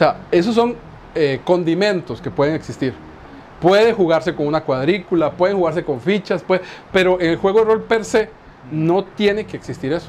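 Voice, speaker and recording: A man speaks at a high pitch and a moderate pace. There is noticeable background noise. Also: ordinary pitch variation. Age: 40s. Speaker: Dungeons & Dragons game master. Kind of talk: casual chat.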